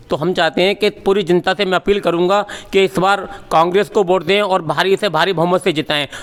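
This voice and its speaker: A man's high voice at a moderate pace and very even loudness, with a dry, close sound with no echo and noticeable background noise. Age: 60s. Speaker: local voter, party supporter. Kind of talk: street interview. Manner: animated.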